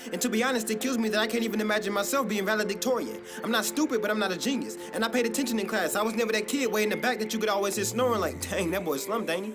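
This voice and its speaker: Very fast speech with hardly any pauses and very even loudness, over music in the background. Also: man, high pitch for a man, ordinary pitch variation. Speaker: spoken word poet. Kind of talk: slam poetry performance.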